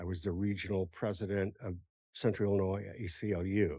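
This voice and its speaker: Against a quiet background, a man with a dark, mellow tone talks at a fairly low pitch and fairly quick pace in a monotone, flat way. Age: 70s. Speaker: retired commission member. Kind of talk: self-introduction at public meeting.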